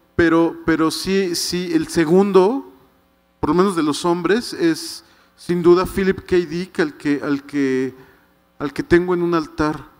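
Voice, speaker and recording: The pace is very slow, with ordinary pitch variation. The background is quiet. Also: man, high pitch for a man. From Mexico City. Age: 50s. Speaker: writer. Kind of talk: book presentation talk. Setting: stage with audience. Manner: halting, many repetitions. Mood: relaxed, enthusiastic. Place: stage. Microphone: handheld.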